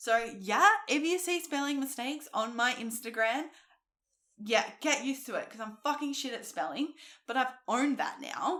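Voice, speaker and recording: A woman projects her high-pitched voice with lively intonation at a moderate pace, captured on a very clean recording with a silent background. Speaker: fitness coach and podcast host. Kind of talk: casual podcast monologue. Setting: sitting on a couch recording podcast. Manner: animated.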